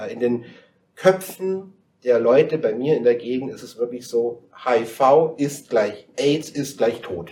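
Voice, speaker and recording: At a fairly slow pace, a man with a medium pitch and an unremarkable speaking voice speaks with big swings in loudness. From Bavarian Swabia, Dillingen district. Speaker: guest. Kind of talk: casual chat. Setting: studio.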